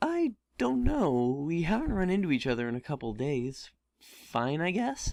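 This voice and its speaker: A man's strained, put-on character voice, fairly high in pitch, at a moderate pace over a quiet background. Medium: read story. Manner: strained politeness.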